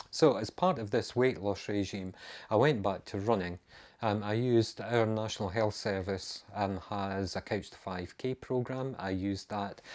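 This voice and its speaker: The speaker has a Scottish accent. The pace is moderate and the intonation fairly even. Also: man, fairly low pitch for a man. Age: 50s. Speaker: amateur runner and vlogger. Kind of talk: casual video monologue. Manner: hesitant, many ums.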